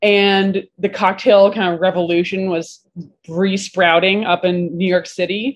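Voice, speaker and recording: A woman's unremarkable speaking voice, medium in pitch, at a fairly slow pace. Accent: American. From Vermont, US. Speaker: bartender and bar owner. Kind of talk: casual interview chat.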